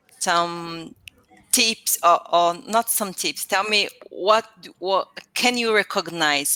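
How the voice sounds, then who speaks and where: A woman with a Brazilian accent talks very slowly at a medium pitch, her bright, sharp tone showing ordinary pitch variation in a dry, close sound with no echo. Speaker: English learner. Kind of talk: casual chat. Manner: halting.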